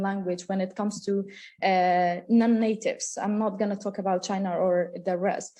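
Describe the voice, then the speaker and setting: Against a quiet background, a woman of medium pitch speaks in a dark, mellow tone with fairly even intonation. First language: Kurdish. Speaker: university lecturer. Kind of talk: conference talk. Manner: halting, many fillers.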